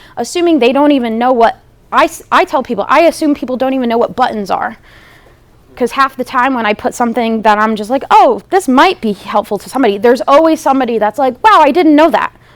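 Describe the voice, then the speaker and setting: Loud and very fast, a woman speaks with an American accent. Her high voice carries lively intonation. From New Jersey. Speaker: social media marketing trainer. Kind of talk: seminar presentation. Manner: high-energy, animated.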